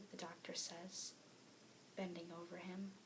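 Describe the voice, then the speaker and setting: Soft-spoken, a woman talks fairly slowly at medium pitch. Noticeable background noise runs behind her. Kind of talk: read story.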